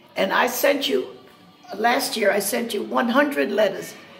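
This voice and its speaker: A woman at a moderate pace with faint music in the background. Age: 80s+. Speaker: swing dancer. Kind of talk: spoken appeal addressed to the president. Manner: earnest, pleading. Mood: earnest, pleading. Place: cafe. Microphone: phone near.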